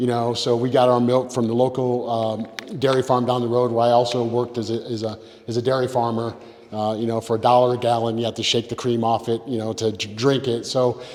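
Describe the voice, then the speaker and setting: A speaker with an American accent talks at a fairly quick pace in a monotone, flat intonation. Noticeable background noise runs under the voice. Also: man, medium pitch for a man. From upstate New York, rural. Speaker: political candidate. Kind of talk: candidate forum speech. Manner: loud; halting, many repetitions.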